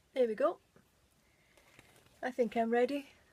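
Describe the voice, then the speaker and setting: The voice has a British accent. Its intonation is fairly even. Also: woman. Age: 60s. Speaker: beauty vlogger. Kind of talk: makeup tutorial. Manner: casual, chatty.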